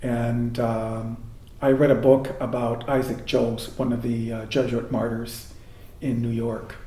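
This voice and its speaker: A man with an American accent speaks at a medium pitch and a fairly slow pace, his intonation monotone and flat. The recording has audible room echo and noticeable background noise. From Michigan, US Midwest (Jackson). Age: 60s. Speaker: Jesuit priest. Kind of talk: oral history interview. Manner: hesitant, many fillers.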